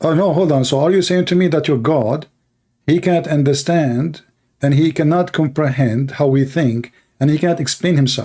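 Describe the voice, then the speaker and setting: A man with an Arabic accent, fairly high pitch, ordinary pitch variation and a dark, mellow tone, at a moderate pace and very even loudness, in a very clean recording with a silent background. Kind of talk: heated debate. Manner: animated.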